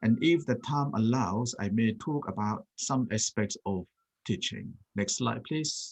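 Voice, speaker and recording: A man with a Thai accent speaks at a fairly slow pace and a medium pitch, his intonation lively. The sound is dry and close, with no echo. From Thailand. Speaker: Buddhist monk. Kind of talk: talk with slides.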